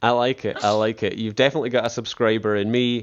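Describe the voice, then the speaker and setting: The speaker is a man. He has a Scottish accent. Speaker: podcast host. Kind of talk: casual interview. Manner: halting, many restarts.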